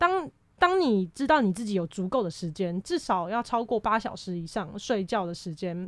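A woman with a normal speaking voice talks at a moderate pace, her intonation lively. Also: medium pitch for a woman, very clean recording, silent background. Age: 20s. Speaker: university student. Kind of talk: casual chat.

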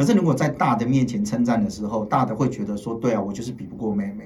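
The delivery is very fast, with an animated tone and ordinary pitch variation. Noticeable background noise runs underneath. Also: man. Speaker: TV political commentator. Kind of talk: casual chat.

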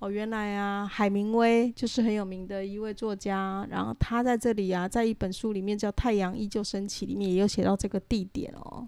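Over a silent background in a very clean recording, a woman uses an ordinary speaking voice at medium pitch. She talks at a moderate pace with fairly even intonation. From Taiwan. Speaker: podcast co-host, pilgrim hiker. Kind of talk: casual chat.

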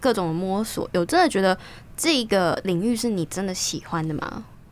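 This woman's voice sits at a medium pitch. Her pace is moderate and her intonation lively. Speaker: guest host, radio program host. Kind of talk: casual chat.

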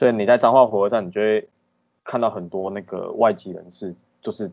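Speaking in a Taiwanese accent at a fairly quick pace, a man keeps a fairly low pitch and fairly even intonation. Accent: Taiwanese Mandarin. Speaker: podcast guest. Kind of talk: casual chat.

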